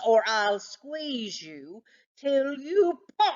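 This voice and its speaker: A put-on character voice that sounds female, pitched high and swinging very widely up and down. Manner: threatening.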